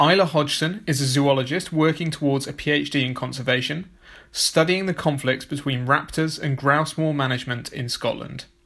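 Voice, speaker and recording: A man speaks in a normal speaking voice at a moderate pace. His pitch is fairly high, with fairly even intonation. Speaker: podcast host. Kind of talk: interview intro and conversation.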